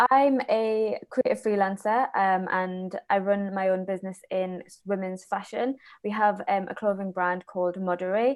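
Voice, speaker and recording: A woman speaks with a strong Geordie accent at medium pitch and fairly even intonation. Her loudness swings widely. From northeast England, Newcastle. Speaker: fashion business owner. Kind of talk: panel discussion introduction. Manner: halting, many fillers.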